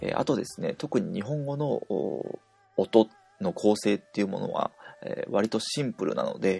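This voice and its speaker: A man speaks at a moderate pace, leaving long, frequent pauses. The sound is dry and close, with no echo. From Japan. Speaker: language teacher. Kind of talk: tutorial.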